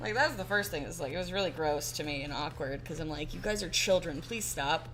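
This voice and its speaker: A woman's very deep, low pitch with ordinary pitch variation at a fairly quick pace, amid noticeable background noise and audible room echo. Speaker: artist livestreamer. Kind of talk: casual chat. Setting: livestream. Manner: halting.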